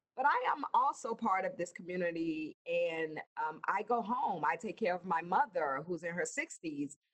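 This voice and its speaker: An ordinary speaking voice, it has lively intonation and a moderate pace. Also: woman, medium pitch for a woman. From US South. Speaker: emergency services director. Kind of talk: interview.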